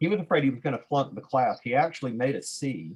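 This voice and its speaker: A man in a Southern US accent, lively intonation, moderate pace. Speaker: physics instructor, presenter. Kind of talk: video call discussion. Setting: video call.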